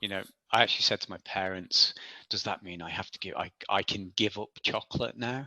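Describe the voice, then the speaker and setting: A man's fairly low voice with a bright, sharp tone, fairly even intonation, and big swings in loudness, in a dry, close sound with no echo on a very clean recording with a silent background. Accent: Manx. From Isle of Man. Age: 40s. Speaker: ultra athlete. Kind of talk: interview. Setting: podcast. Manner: halting.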